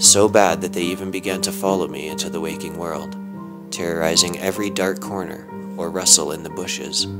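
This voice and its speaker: With music in the background, a man with a very deep, low pitch speaks at a fairly quick pace with ordinary pitch variation. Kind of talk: creepypasta horror story reading.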